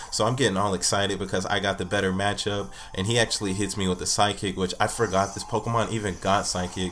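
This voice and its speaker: With noticeable background noise behind him, a man speaks very fast with hardly any pauses, his fairly low voice in a monotone, flat intonation. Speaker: gaming YouTuber. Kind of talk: gameplay commentary.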